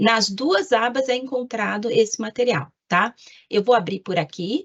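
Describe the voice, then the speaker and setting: A woman speaks in a normal speaking voice with a fairly high pitch. The sound is dry and close, with no echo. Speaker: government lawyer. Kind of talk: presentation in an online meeting.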